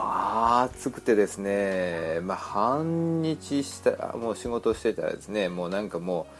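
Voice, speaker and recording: Over noticeable background noise, a man with a fairly low pitch talks at a fairly slow pace with hardly any pauses, lively intonation and big swings in loudness. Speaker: podcast host on children's health. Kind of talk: casual monologue. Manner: rambling with many fillers.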